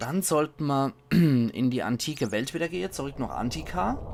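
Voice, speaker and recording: The speech comes at a fairly slow pace. Noticeable background noise sits behind it. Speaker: let's play commentator. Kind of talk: casual gaming commentary.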